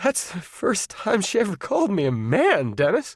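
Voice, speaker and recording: A man puts on a shaky, high-pitched character voice and speaks at a moderate pace. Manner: trembling, affected, mock-adoring.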